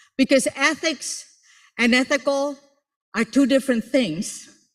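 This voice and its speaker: Speaking fairly slowly in a Spanish accent, the voice carries an animated tone. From Puerto Rico. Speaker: motivational speaker and professor. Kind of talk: motivational speech.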